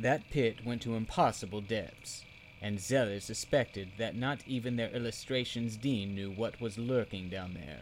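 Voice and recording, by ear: A natural voice for reading aloud.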